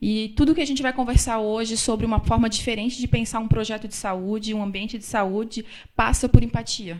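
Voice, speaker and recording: A woman is speaking. Her pace is very fast. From Florianópolis, southern Brazil. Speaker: business consultant. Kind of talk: lecture. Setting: stage with audience.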